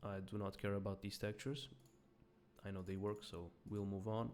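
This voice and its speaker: A man with a non-native accent. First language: not English. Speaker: indie game developer. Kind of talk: software demo walkthrough. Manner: casual, hesitant with fillers.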